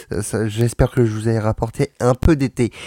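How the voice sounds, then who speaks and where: Speaking fairly slowly, a man with a medium pitch and a dark, mellow tone comes across dry and close, with no echo. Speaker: radio host. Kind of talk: casual radio show hosting. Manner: loud.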